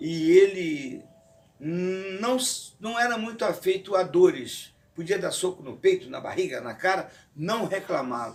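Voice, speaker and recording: A man speaks very slowly at a high pitch. His pitch swings very widely and his loudness varies a lot. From Rio de Janeiro, Brazil. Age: 60s. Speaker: retired kung fu teacher. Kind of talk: interview testimony. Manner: formal.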